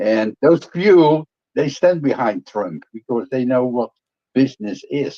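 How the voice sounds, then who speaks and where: Over a dry, close sound with no echo, a man speaks at a medium pitch with a dark, mellow tone. His intonation is lively and his pace fairly slow. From Netherlands. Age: 70s. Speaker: businessman. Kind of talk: casual chat. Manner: hesitant, many fillers.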